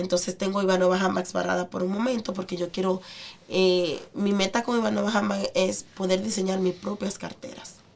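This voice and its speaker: Over noticeable background noise, a woman talks at a medium pitch. Her intonation is fairly even and her pace moderate. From Dominican Republic, San Pedro de Macorís. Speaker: restaurant owner. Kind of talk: interview.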